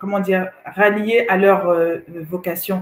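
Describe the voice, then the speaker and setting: A woman's voice sits at a medium pitch, her intonation fairly even. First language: Swahili (speaking French). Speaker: co-host. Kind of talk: casual chat. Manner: halting.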